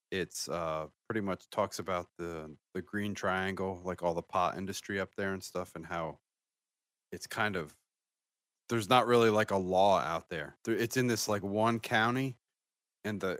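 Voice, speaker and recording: Very deep, low male voice with ordinary pitch variation at a moderate pace. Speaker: podcast co-host. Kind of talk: casual chat.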